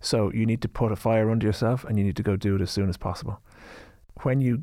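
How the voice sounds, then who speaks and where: With an Irish accent, a man speaks at a very fast pace and a medium pitch in a dark, mellow tone, in a very clean recording with a silent background. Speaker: drinks company founder. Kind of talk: interview.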